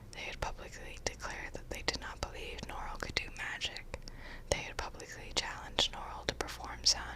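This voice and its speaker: A woman talks in a whisper at an average speed. Clear background noise can be heard too. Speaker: ASMR audiobook reader. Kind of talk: audiobook narration. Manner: soft-spoken.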